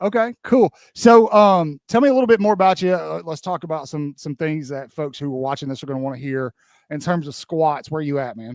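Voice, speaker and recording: An animated man with a Southern US accent talks at a fairly quick pace and a fairly high pitch, with lively intonation and big swings in loudness. The sound is dry and close, with no echo. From Alabama. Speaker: podcast host. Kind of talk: interview on live stream.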